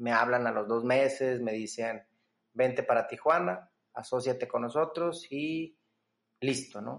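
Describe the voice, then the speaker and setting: The pace here is fairly slow, with ordinary pitch variation. It is an unremarkable speaking voice. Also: man. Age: 20s. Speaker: entrepreneur and business coach. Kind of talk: casual interview.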